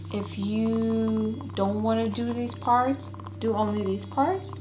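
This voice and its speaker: A woman with a very deep, low pitch speaks in a monotone, flat way at a very slow pace, with audible room echo and noticeable background noise. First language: not English. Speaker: ASMR self-care creator. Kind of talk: tutorial. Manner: casual.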